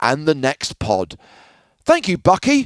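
Male voice, an unremarkable speaking voice, at a moderate pace, with a dry, close sound and no echo. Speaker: poker podcast co-host. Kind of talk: casual chat.

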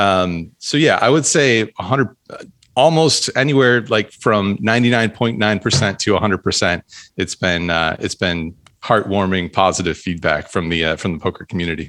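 This is a normal speaking voice: a man with a fairly low pitch talks at a fairly slow pace with lively intonation. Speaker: poker vlogger and club owner. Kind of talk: casual interview chat.

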